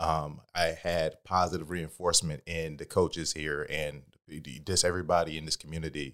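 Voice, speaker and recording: Moderate-paced male speech on a very clean recording, the background silent. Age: 30s. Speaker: gym member. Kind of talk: casual chat. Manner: loud.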